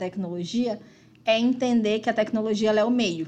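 Fairly high in pitch with ordinary variation, this woman has an unremarkable speaking voice. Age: 30s. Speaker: community team member. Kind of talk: casual chat.

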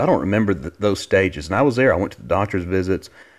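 A very deep, low-pitched man's voice with a Southern US accent, fairly quick pace and ordinary pitch variation, on a very clean recording with a silent background. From Alabama. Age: 30s. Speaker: podcast host. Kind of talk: casual monologue. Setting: home living room.

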